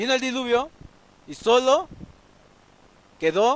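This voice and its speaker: A man talks with a slight Veracruz accent. His pace is fairly slow. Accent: Veracruz (jarocho) Mexican Spanish, slight. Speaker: pastor. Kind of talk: sermon. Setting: church, livestreamed. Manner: halting, with repetitions.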